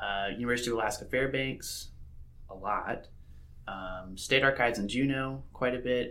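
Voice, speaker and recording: Over audible room echo, a man of medium pitch speaks at a moderate pace with fairly even intonation. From Mississippi. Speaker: PhD researcher in geography. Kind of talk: interview.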